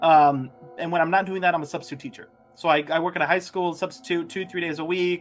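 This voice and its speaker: Very fast speech over music in the background. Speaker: YouTuber and substitute teacher. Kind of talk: casual interview chat.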